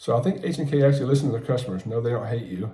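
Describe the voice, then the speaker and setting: A man's somewhat breathy voice with a medium pitch, a dark, mellow tone, ordinary pitch variation, and audible room echo. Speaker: gun reviewer YouTuber. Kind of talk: product review. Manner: fast.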